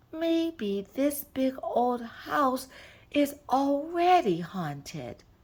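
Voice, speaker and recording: In a very clean recording with a silent background, a female-sounding put-on character voice speaks at a very slow pace in a high pitch. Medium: read story. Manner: literal, deadpan.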